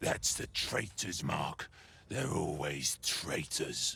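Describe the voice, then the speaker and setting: With light background noise, a growling put-on character voice moves very slowly through very wide pitch swings. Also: man, very deep, low pitch for a man. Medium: video game. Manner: harsh, barking.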